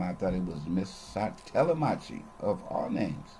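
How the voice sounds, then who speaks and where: A man with an American accent speaks at a fairly low pitch with ordinary pitch variation and a dark, mellow, somewhat breathy tone. Light background noise can be heard. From Los Angeles, California. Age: 70s. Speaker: retiree recording personal memoir videos; storyteller. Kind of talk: personal recorded monologue / memoir. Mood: relaxed, nostalgic. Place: home room. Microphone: webcam.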